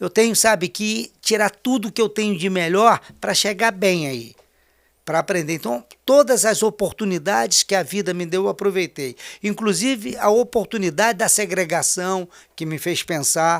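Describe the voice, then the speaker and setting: The delivery has lively intonation and a moderate pace, captured in a very clean recording with a silent background. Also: man, high pitch for a man. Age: 60s. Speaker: politician. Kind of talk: interview.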